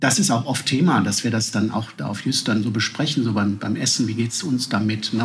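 Over noticeable background noise, a man speaks at a moderate pace, his medium pitch showing ordinary variation. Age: 40s. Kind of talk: casual interview. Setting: at home over coffee.

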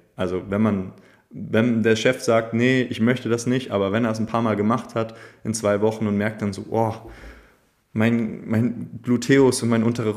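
Speaking in a normal speaking voice, a man keeps a fairly low pitch and fairly even intonation. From northern Germany, Schleswig-Holstein. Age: 20s. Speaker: movement teacher. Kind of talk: casual interview.

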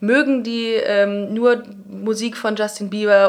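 This woman talks with fairly even intonation. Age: 30s. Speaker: comedy writer and podcaster. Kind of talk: casual interview chat. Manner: sometimes stumbling over words.

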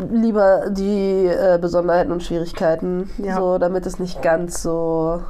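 A woman talks at a fairly slow pace with hardly any pauses, her medium-pitched voice monotone and flat. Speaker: midwife. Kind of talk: casual chat.

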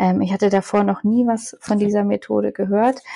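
The speaker is a woman talking at a moderate pace. The sound is dry and close, with no echo. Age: 30s. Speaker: mother sharing birth story. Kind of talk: interview, personal testimony.

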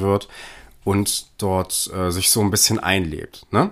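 This is a man speaking. His pitch is fairly low. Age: 20s. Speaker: film podcast co-host. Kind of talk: film analysis discussion. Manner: hesitant, many fillers.

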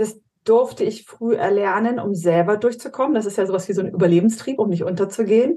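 At a moderate pace, a woman speaks with a fairly high pitch, a dark, mellow tone, and ordinary pitch variation. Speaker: high impact coach and strengths trainer. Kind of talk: casual interview chat. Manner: blunt, short and snappy.

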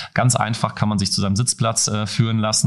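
A man with a fairly low pitch, ordinary pitch variation and a very fast pace, over noticeable background noise. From Germany, eastern Hesse. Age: 30s. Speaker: football club tech executive. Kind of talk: interview.

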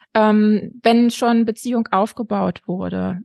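Against a quiet background, a woman's voice comes through dry and close with no echo. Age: 40s. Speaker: educator and family counselor, author. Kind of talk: interview. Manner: frequent hesitations.

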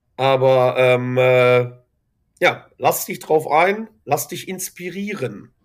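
A very slow man's voice, fairly high in pitch, with lively intonation. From Germany, Ruhr area (Dorsten). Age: 30s. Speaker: school coach and kung fu teacher. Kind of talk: interview, personal faith story. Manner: halting, many fillers and repetitions.

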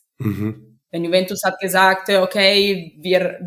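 A woman with an Italian accent speaks at a fairly low pitch with fairly even intonation. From Italy. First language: Italian (speaking German). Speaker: professional football goalkeeper. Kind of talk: interview. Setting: video call. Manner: halting.

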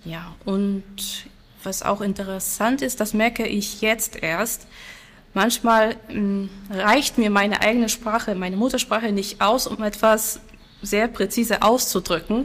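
A woman at a fairly slow pace, her intonation fairly even. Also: fairly high pitch for a woman. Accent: Silesian. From Poland, Silesia. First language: Silesian (speaking German). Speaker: language teacher. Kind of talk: interview.

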